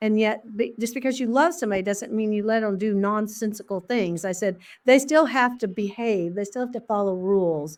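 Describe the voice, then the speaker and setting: On a very clean recording with a silent background, a woman with an Oklahoma accent speaks at a fairly quick pace with fairly high pitch and ordinary pitch variation. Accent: Oklahoma Southern US. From Oklahoma, US. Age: 60s. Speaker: elementary school principal. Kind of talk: interview conversation. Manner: animated.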